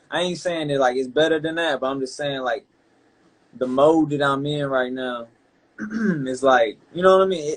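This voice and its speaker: A man with a Carolina accent, fairly high in pitch, at a fairly quick pace and with fairly even intonation. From Carolina, US South. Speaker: rapper. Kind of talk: interview. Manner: casual, halting.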